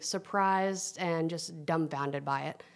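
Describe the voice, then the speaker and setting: In a very clean recording with a silent background, a woman with a Southern US accent talks at a fairly slow pace. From US South, Tennessee. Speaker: food influencer. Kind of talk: casual chat.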